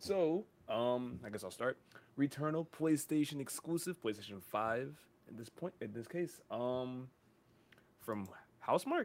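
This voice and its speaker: A medium-pitched man speaks with lively intonation at a fairly slow pace, taking long, frequent pauses. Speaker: podcast co-host. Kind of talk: casual chat.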